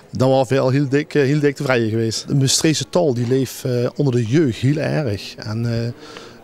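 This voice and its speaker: Over noticeable background noise, a man at medium pitch speaks at a moderate pace with fairly even intonation and hardly any pauses. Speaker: dictation contest organizer. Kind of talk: interview answer. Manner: hesitant, many filler sounds.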